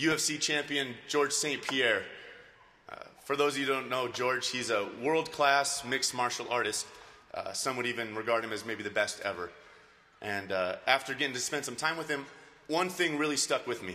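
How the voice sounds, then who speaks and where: Speaking at a fairly quick speed, the man shows ordinary pitch variation. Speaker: speaker. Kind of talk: commencement speech. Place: hall. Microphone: podium.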